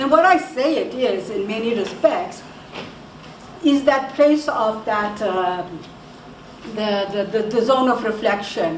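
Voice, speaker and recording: A woman with a fairly high pitch talks at a fairly slow pace, using lively intonation and long, frequent pauses. Audible room echo and noticeable background noise fill the recording. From South Africa, Indian descent. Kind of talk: talk to an audience. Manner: halting, many repetitions and fillers.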